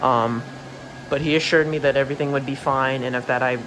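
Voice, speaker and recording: A man talks at a fairly quick pace in a monotone, flat intonation against noticeable background noise. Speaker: inflatable collector reviewer. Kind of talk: product review. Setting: at home late at night. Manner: hesitant with frequent ums.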